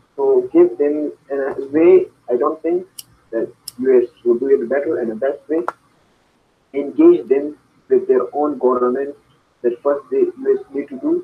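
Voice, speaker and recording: Spoken with a Pakistani accent, the voice moves at a fairly slow pace, broken by long, frequent pauses. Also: man. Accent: Pakistani accent resembling Indian. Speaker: student. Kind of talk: interview. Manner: halting.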